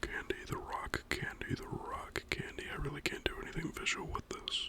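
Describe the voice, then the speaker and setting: A man whispers over noticeable background noise. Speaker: ASMR creator. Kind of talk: casual talk to camera about games. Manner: soft-spoken, whispered.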